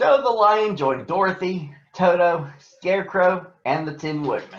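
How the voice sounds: A man at a fairly slow pace, high pitched with lively intonation, amid audible room echo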